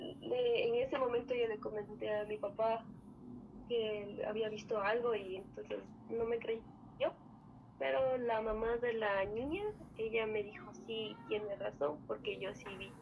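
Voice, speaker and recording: A woman's normal speaking voice, fairly high in pitch, with ordinary pitch variation and a fairly slow pace. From Ecuador, Andean highlands (Otavalo). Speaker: guest telling a paranormal story. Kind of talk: testimony.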